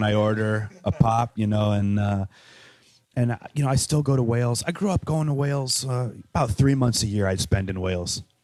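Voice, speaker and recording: Heard with a dry, close sound and no echo, a man with a Chicago accent speaks at a moderate pace and medium pitch with ordinary pitch variation. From US Midwest, Chicago. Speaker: musician and radio host. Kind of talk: casual interview chat. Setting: coffee shop.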